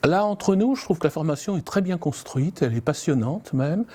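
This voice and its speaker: Lively intonation marks this man's dark, mellow tone. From southern France. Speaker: citizen council member. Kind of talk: interview testimony.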